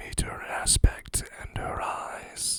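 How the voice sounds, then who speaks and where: Whispering comes through with noticeable noise in the background. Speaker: ASMR creator. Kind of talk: ASMR poetry reading. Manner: whispered.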